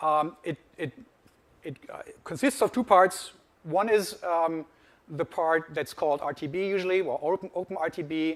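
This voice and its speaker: Speaking at a moderate pace with a German accent, this voice shows ordinary pitch variation and long, frequent pauses. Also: man, high pitch for a man. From Germany. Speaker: industry research analyst. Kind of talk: conference presentation.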